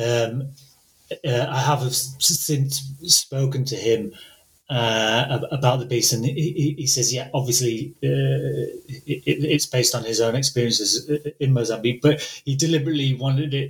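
A man at medium pitch speaks somewhat breathily, with fairly even intonation and a fairly slow pace. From northern England. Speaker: translator. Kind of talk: interview conversation with readings. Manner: hesitant, many filler words.

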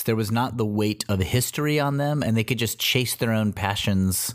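Here a man speaks in a normal speaking voice at fairly low pitch. His pace is moderate, with ordinary pitch variation. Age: middle-aged. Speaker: comedy performer and podcast co-host. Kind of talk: casual chat.

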